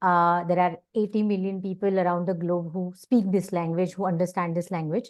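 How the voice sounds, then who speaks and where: A woman with an Indian accent at a moderate pace, medium in pitch, monotone and flat in intonation, with hardly any pauses, over a quiet background. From India, Pune, Maharashtra. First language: Marathi. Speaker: journalist and founder. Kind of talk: panel self-introduction.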